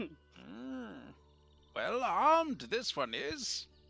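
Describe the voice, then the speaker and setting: A man does a put-on character voice in a high pitch. Faint music plays in the background. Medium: actual play. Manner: slow, inverted and cryptic phrasing.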